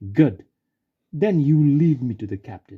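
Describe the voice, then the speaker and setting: In a put-on character voice, a man speaks shakily at a moderate pace, fairly high in pitch with very wide pitch swings, in a dry, close sound with no echo. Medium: read story. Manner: quivering.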